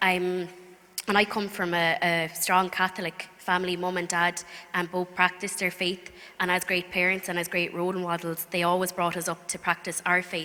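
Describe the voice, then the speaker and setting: A woman with a County Clare accent talks at a moderate pace. Her medium-pitched voice carries a monotone, flat intonation. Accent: Irish, County Clare. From Ireland, County Clare. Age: 20s. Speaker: speaker giving faith testimony. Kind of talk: testimony. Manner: hesitant, many fillers.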